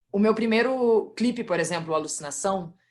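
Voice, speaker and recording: At a fairly quick pace, a woman talks in a somewhat breathy voice with ordinary pitch variation. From Brazil, interior of Rio Grande do Sul. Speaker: independent musician. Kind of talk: casual group video chat. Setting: video call.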